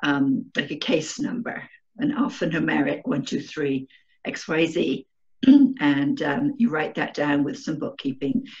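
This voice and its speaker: A woman speaks in an English accent at a very deep, low pitch, her voice somewhat breathy. Her pitch swings very widely while her pace stays fairly slow. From England. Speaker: remote viewer. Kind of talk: interview. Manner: halting, many fillers.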